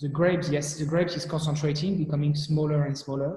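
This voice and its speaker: Speaking very fast in a French accent, a man with a fairly high pitch and a dark, mellow tone keeps his intonation monotone and flat. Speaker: wine company director. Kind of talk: expert explanation in live chat. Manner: halting, many repetitions.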